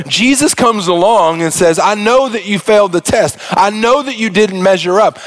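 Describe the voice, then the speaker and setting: Animated in tone and high in pitch, a man speaks at a fairly quick pace with ordinary pitch variation over noticeable background noise. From Arkansas. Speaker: pastor. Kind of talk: sermon. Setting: church.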